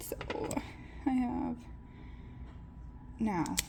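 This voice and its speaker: A woman whispering, with audible room echo and noticeable background noise. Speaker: plant hobbyist vlogger. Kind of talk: casual tutorial vlog. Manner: chatty, hesitant.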